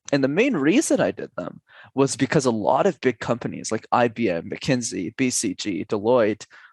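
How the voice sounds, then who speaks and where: A man with an unremarkable speaking voice of medium pitch talks at a moderate pace with lively intonation, the sound dry and close with no echo over a quiet background. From Canada, Montreal. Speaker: public speaking coach. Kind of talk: podcast interview.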